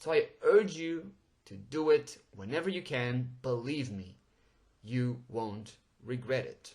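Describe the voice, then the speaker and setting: Somewhat breathy and with a Portuguese accent, a man speaks at a medium pitch and a very slow pace, with lively intonation and big swings in loudness. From Portugal. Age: 20s. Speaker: podcast host. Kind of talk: podcast monologue. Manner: animated.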